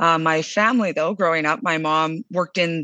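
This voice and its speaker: With a Western Canadian accent, a woman talks at a fairly quick pace in a bright, sharp tone. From southern Alberta, Canada. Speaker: food company CEO. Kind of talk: interview.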